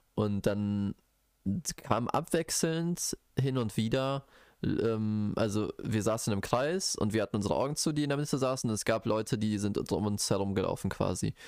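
This man has an ordinary speaking voice, fairly low in pitch. His loudness stays very even, with ordinary pitch variation. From Bochum, Ruhr area, Germany. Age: 20s. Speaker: podcast co-host, biology student. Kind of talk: casual chat.

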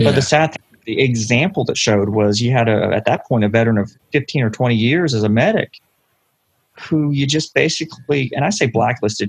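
Somewhat breathy, a man talks at a fairly quick pace and medium pitch with ordinary pitch variation. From London, Ontario, Canada. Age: 40s. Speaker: paramedic. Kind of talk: interview.

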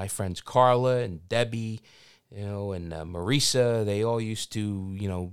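The voice carries a Philadelphia accent at a fairly slow pace with ordinary pitch variation. The recording is very clean, with a silent background. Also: man, fairly low pitch for a man. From South Philadelphia, US. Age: 50s. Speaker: podcast host and filmmaker. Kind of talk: casual interview. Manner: halting, many fillers.

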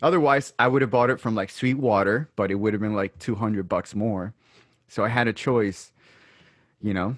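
A man with an American accent, a normal speaking voice and a fairly low pitch speaks with ordinary pitch variation in a very clean recording with a silent background. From Brooklyn, New York. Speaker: podcast host. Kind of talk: casual chat.

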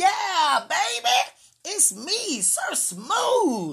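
A put-on character voice, high-pitched, with very wide pitch swings. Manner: smooth, flamboyant.

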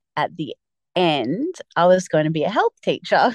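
A woman with an Australian accent talks in a fairly low pitch, her sound dry and close with no echo over a quiet background. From Victoria, Australia (Mornington Peninsula). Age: 30s. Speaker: primary school teacher. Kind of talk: casual interview.

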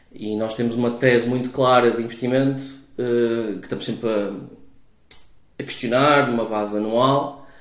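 A man speaks in a monotone, flat intonation with long, frequent pauses. There is audible room echo and noticeable background noise. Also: medium pitch for a man, moderate pace. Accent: European Portuguese. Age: 40s. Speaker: venture capital investor. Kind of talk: interview. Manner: hesitant, many fillers.

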